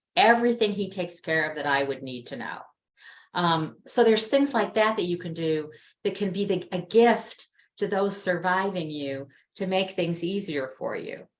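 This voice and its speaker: With lively intonation and a moderate pace, this is an unremarkable speaking voice. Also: woman, medium pitch for a woman. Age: 60s. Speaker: webinar guest speaker on end-of-life planning. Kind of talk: interview over video webinar. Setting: video call.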